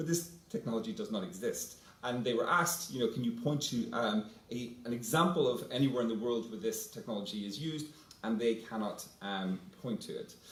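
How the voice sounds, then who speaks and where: A man speaks with a Northern Irish accent at a fairly quick pace. His pitch is medium, his intonation lively, and there is noticeable background noise. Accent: Northern Irish (Belfast). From Northern Ireland, Belfast. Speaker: panelist, academic fellow. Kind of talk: panel talk. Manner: halting, many fillers.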